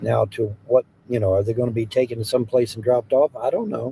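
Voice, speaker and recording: In an American accent, a man speaks at a medium pitch with a dark, mellow tone that is somewhat breathy, and the sound is dry and close with no echo. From US Midwest, Hamilton, Ohio. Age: 60s. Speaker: live streamer. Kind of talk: casual live-stream chat reading comments. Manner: casual, repetitive.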